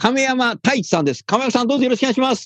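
A man speaks in an animated tone, with a dry, close sound and no echo. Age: 60s. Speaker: radio show host. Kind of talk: casual interview chat. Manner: casual.

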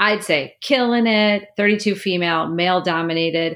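Speaking fairly slowly with lively intonation, a woman has a normal speaking voice. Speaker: podcast host and HR consultant. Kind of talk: interview.

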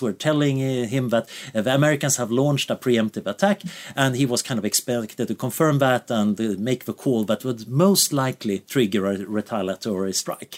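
A man's medium pitch shifts in an ordinary way as he talks at a moderate pace. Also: dry, close sound with no echo. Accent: Swedish. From Sweden. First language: Swedish. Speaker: researcher. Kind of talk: interview.

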